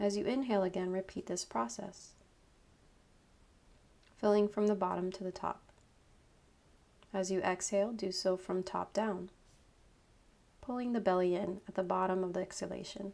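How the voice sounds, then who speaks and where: At a moderate pace and medium pitch, a woman talks with fairly even intonation and long, frequent pauses. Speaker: yoga instructor, meditation guide. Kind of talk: guided meditation, yoga nidra.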